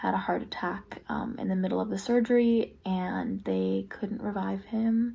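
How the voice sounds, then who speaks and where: A woman speaks at a fairly slow pace. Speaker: lifestyle vlogger. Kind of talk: casual vlog talk to camera. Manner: casual, filler-heavy.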